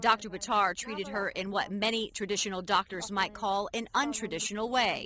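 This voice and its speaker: In a normal speaking voice, the speaker talks at a fairly quick pace with fairly even intonation. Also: woman, medium pitch for a woman. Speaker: TV news reporter. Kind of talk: TV news report.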